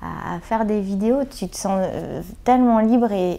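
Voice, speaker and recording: On a very clean recording with a silent background, a woman speaks in a dark, mellow tone with ordinary pitch variation. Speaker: comedian and web video actress. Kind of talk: interview. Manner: hesitant, many fillers.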